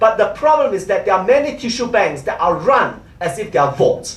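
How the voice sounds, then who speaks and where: At a fairly quick pace, the talking goes on against noticeable background noise. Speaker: conference speaker on biobanking. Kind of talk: conference lecture. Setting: conference hall with audience. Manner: fast.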